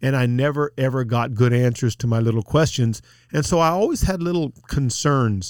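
An unremarkable speaking voice from a man with an American accent, medium pitch, ordinary pitch variation, moderate pace and very even loudness. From South Texas. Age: 50s. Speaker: lawyer and Bible teacher. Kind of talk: podcast interview.

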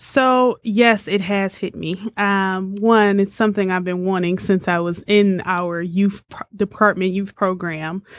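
A woman with an American accent speaks at a fairly slow pace, with hardly any pauses. Her pitch is medium and her intonation fairly even, in an ordinary speaking voice. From Detroit, Michigan. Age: 30s. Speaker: civil rights organization director. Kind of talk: interview.

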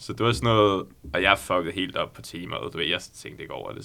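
Very fast and very deep, a man's voice carries a bright, sharp tone. His pitch shows ordinary variation. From Copenhagen, Denmark. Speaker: law podcast co-host. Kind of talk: casual chat.

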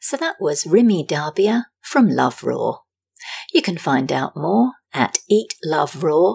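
The speaker talks at a very slow pace with vocal fry and very wide swings in pitch. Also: woman, fairly low pitch for a woman. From Britain. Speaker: podcast host, journalist. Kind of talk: interview conversation.

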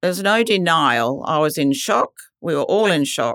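A woman with an Australian accent speaks at a fairly slow pace, her pitch fairly low with ordinary variation. The sound is dry and close with no echo, on a very clean recording with a silent background. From Western Australia. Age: 70s. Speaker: cancer patient. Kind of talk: testimony.

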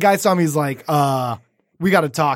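The pitch varies in an ordinary way. The voice belongs to a man. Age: 30s. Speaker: podcast host. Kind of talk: casual chat. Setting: studio.

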